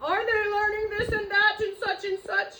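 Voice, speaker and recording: A woman's put-on character voice, extremely high in pitch, with monotone, flat intonation at a moderate pace. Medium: read story. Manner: mopey, anxious.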